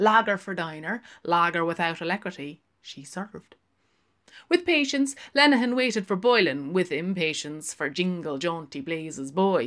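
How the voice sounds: Her tone is fairly bright and her pitch fairly low. This woman talks at a fairly slow pace with ordinary pitch variation.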